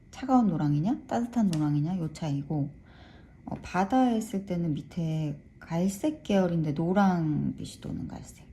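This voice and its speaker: A woman's dark, mellow, somewhat breathy voice, fairly slow, with lively intonation and big swings in loudness. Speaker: watercolor art teacher. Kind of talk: tutorial. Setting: art studio. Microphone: room echo.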